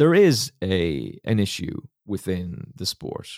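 A man with an Irish accent speaks with lively intonation. The recording is very clean with a silent background and a dry, close sound with no echo. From Ireland, County Kilkenny. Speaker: podcast host and radio broadcaster. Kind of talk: casual interview.

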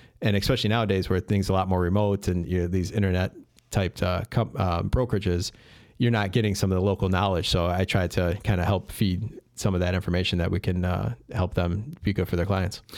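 Speech comes at a very fast pace in a Chicago accent, with fairly even intonation and very even loudness. The recording is very clean, with a silent background. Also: man, very deep, low pitch for a man. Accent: Chicago-area American. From Chicago western suburbs (Addison). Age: 40s. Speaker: real estate investor and property manager. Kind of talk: casual interview. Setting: studio.

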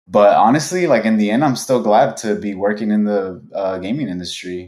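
This man has a fairly low pitch and a Californian accent. He talks at a moderate pace with ordinary pitch variation. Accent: Californian American English. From Los Angeles, US. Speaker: video game quality lead. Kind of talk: casual interview.

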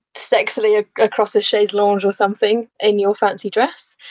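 A woman speaks with a Lancashire accent. Her pace is moderate. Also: dry, close sound with no echo. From northern England, Lancashire. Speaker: landscape architect and photographer. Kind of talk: casual chat.

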